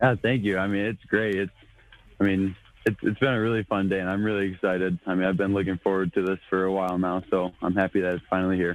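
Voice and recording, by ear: Spoken at a fast pace with an American accent, the voice shows little pitch movement. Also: man, low pitch for a man.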